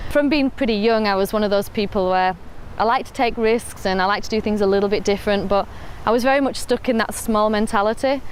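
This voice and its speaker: With a northern English accent, a woman talks at a very fast pace, fairly high in pitch, with very even loudness and fairly even intonation. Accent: northern English, noticeable to Australians. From northern England, Rochdale. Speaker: entrepreneur. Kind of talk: personal story interview. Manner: casual with fillers.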